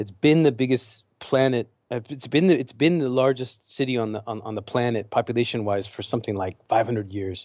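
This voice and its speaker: On a very clean recording with a silent background, a man with an American accent speaks at a moderate pace in a dark, mellow tone. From California. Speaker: MBA admissions consultant. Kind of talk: casual interview chat.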